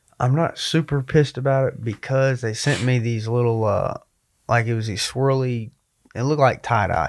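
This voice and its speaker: Recorded very cleanly with a silent background, a man with an unremarkable speaking voice talks at a medium pitch with fairly even intonation. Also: moderate pace. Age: 20s. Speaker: MMA fighter. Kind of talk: casual chat.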